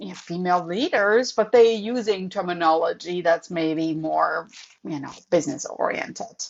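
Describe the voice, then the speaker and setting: A woman with a European accent, speaking at a fairly slow pace. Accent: noticeable European. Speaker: professor and author. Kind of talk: podcast interview.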